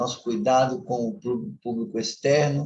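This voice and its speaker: This man's voice is somewhat breathy. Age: 60s. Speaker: lay preacher. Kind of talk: sermon. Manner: conversational, informal.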